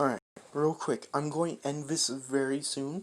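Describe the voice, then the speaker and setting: With a fairly even intonation, a man speaks at a fairly high pitch. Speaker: fan fiction storyteller. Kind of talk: improvised story narration. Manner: halting.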